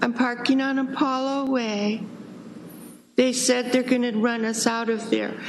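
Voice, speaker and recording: The speech moves at a fairly slow pace with monotone, flat intonation, set against noticeable background noise and audible room echo. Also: woman, high pitch for a woman. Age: 60s. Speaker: public commenter. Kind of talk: testimony. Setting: city council meeting.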